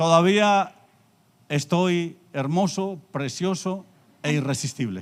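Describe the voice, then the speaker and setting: A man with a high voice speaks at a very slow pace, taking long, frequent pauses. His pitch varies in an ordinary way. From Colombia, Antioquia. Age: 60s. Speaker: pastor. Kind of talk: sermon. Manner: pausing for interpreter.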